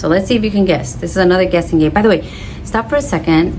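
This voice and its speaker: A woman with a fairly low pitch talks in an animated tone. There is audible room echo and noticeable background noise. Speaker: orchid hobbyist vlogger. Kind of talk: casual vlog talk to camera. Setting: outdoors on patio. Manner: variable volume, sometimes quiet.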